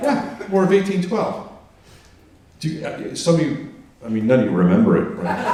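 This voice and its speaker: Heard with audible room echo and noticeable background noise, a man speaks at a moderate pace with long, frequent pauses. His voice is high, and his pitch swings very widely. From New England. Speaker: stand-up comedian. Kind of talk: stand-up. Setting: stage with audience.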